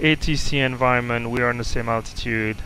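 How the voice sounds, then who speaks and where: The pitch varies in an ordinary way, and noticeable background noise sits behind the voice. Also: man. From Belgium. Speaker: flight sim streamer, retired engineer. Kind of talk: casual chat. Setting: home cockpit live stream.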